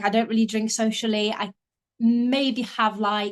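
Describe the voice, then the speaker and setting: Speaking at an unhurried, moderate rate, a woman uses a fairly high voice. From Poland, moved to UK at seven. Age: 20s. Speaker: marketing professional. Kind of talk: casual interview. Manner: hesitant, many fillers.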